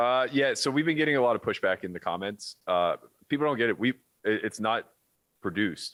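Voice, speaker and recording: An American-accented man talks at a fairly quick pace. His tone is animated and his intonation lively. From Pittsburgh, US. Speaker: poker pro and podcast host. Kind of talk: casual podcast chat. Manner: animated, inflects a lot; loud.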